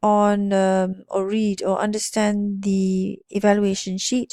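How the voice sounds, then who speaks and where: At a very slow pace, a woman speaks with a medium pitch and a dark, mellow tone. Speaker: lecturer. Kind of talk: tutorial. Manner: hesitant, many fillers.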